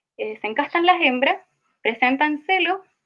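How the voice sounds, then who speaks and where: In a Chilean accent, a woman talks at a moderate pace. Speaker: student teaching assistant. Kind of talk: online tutorial session. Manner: halting, self-correcting.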